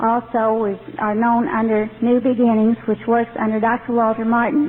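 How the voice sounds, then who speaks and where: A woman in an American accent, fairly high in pitch, at a moderate pace with noticeable background noise. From Texas. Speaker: ex-member ministry director. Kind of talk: testimony.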